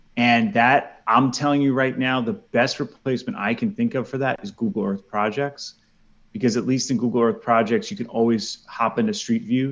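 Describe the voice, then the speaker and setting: Talking at a fairly quick pace with an American accent, a man uses lively intonation at medium pitch. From New York. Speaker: former teacher, ed tech consultant and podcaster. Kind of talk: casual interview chat.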